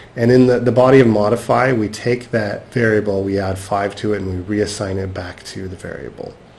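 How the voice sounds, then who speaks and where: A man speaks at a fairly low pitch. Noticeable background noise and audible room echo come through. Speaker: software instructor. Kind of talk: lecture. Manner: halting.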